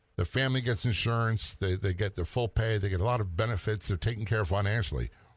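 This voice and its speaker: A man's medium-pitched, somewhat breathy voice on a very clean recording with a silent background. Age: 60s. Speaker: retired police officer and radio host. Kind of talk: casual chat.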